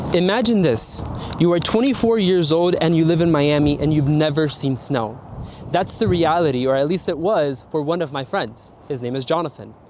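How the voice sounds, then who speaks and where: A man speaks with an American accent at a fairly high pitch, with lively intonation. Noticeable background noise runs underneath. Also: moderate pace. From South Florida. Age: 20s. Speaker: travel vlogger. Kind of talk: vlog narration. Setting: airport. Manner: casual, energetic.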